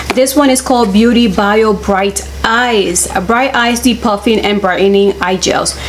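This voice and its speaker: Fairly even intonation and very even loudness over noticeable background noise. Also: woman, fairly high pitch for a woman, fairly slow pace. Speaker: beauty YouTuber. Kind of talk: product unboxing review.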